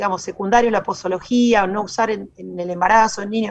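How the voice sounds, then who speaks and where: A woman with a Rioplatense accent at a medium pitch, using ordinary pitch variation. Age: 40s. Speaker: lawyer. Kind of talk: radio interview.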